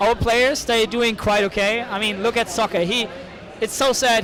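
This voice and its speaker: With a German accent, a man uses a raised, projected voice at a high pitch and fairly even intonation, at a moderate pace. Noticeable background noise runs under him. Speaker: esports caster and tournament organizer. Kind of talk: interview. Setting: event hall with crowd. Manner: halting. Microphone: poor audio quality.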